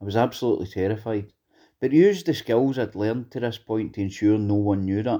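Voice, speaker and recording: A man speaks at medium pitch in a dark, mellow tone. His pace is fairly quick, with ordinary pitch variation. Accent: west of Scotland. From Scotland, Greenock (west of Scotland). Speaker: former prisoner in recovery, actor and school mentor. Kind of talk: personal testimony.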